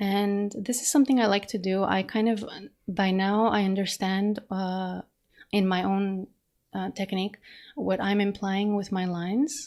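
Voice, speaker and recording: A woman of medium pitch speaks with fairly even intonation. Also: very clean recording, silent background. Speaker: digital artist. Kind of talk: narrated art demo talk. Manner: fast; casual, hesitant with fillers.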